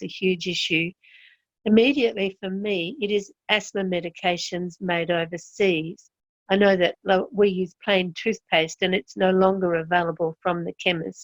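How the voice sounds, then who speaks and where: This woman has an Australian accent and a medium pitch. She talks at a moderate pace. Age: 70s. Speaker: health consumer. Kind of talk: interview testimony. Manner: structured, enumerated points.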